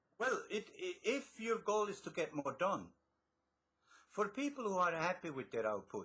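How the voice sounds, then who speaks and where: A man with a bright, sharp tone speaks with very wide pitch swings. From Switzerland. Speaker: author and success coach. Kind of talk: interview.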